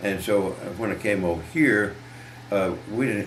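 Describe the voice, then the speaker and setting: With noticeable background noise behind him, a man of fairly low pitch talks at a moderate pace with ordinary pitch variation. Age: 90s. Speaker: elderly car dealer recalling local history. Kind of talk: casual interview answer.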